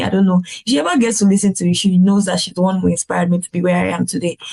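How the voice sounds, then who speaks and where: The delivery is monotone, with flat intonation. The sound is dry and close with no echo, and noticeable background noise sits behind it. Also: woman. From Nigeria. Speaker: pharmacist turned healthcare business consultant. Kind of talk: podcast interview answer.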